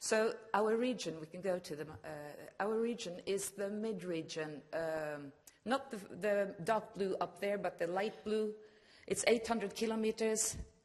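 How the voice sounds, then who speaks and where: The pitch varies in an ordinary way. A woman delivers it at a fairly slow pace. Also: medium pitch for a woman. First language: Norwegian. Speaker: regional broadcast manager. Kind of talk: conference presentation.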